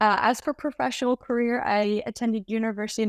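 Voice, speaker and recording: An unremarkable speaking voice from a woman with an American accent, pitched fairly high and moving at a fairly quick pace with fairly even intonation. The sound is dry and close with no echo, and the recording is very clean over a silent background. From Lake Tahoe area, US West. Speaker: medical student. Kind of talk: casual interview.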